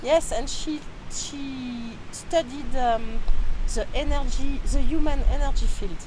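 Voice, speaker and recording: In a French accent, a woman with a high pitch and ordinary pitch variation speaks at a very slow pace amid audible room echo and noticeable background noise. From France. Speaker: energy healer and author. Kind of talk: interview. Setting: outdoors near a restaurant in Peru. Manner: halting.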